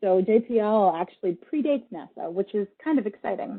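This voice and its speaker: An ordinary speaking voice at a fairly quick pace. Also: woman. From Russia, moved to US young. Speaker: creative technologist, space lab team lead. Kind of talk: public talk with slides. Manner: conversational, some fillers.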